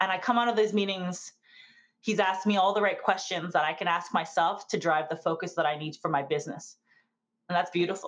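A woman talks at a fairly quick pace in a normal speaking voice. Her pitch sits in the medium range, with ordinary variation. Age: 40s. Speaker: startup accelerator manager. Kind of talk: interview.

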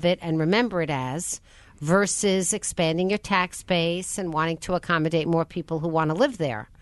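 A woman with an unremarkable speaking voice talks at a moderate pace in a fairly low pitch, with ordinary pitch variation over a quiet background. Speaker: radio host. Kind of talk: radio interview. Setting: studio.

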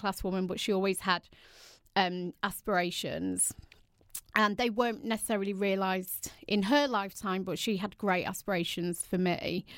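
A woman speaks with an English accent. Her pitch is medium and her intonation fairly even. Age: 40s. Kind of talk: interview.

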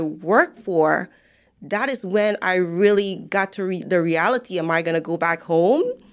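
In a very clean recording with a silent background, a woman speaks with a Guyanese accent. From Guyana. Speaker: financial professional. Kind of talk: interview. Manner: laughs often.

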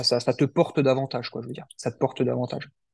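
Talking at a very fast pace, a man uses a medium pitch, a dark, mellow tone and fairly even intonation. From central France, Cher. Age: 30s. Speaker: amateur ultra-runner, former bomb disposal soldier, entrepreneur. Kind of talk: interview. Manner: halting, many fillers and repetitions.

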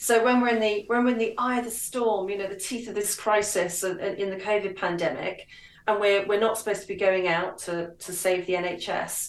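A woman talks at a moderate pace and medium pitch with fairly even intonation. Noticeable background noise can be heard. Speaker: author and commentator. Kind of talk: radio interview, casual political discussion.

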